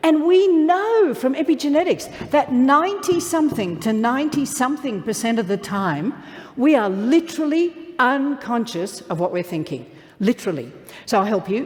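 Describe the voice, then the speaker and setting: Upbeat in tone, a woman's high voice swings very widely in pitch over noticeable background noise. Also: moderate pace. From Australia. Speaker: motivational keynote speaker. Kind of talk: live keynote speech to an audience. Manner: upbeat, humorous.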